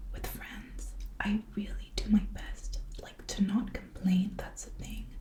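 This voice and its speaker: Soft-spoken and whispering, a woman talks at a very slow pace over noticeable background noise. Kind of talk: whispered reading and rambling for sleep. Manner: whispered, soft-spoken.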